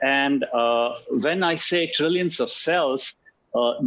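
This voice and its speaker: A man with an Indian accent. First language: Hindi. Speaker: alternative medicine practitioner. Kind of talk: talk on health. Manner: hesitant, many fillers and repetitions.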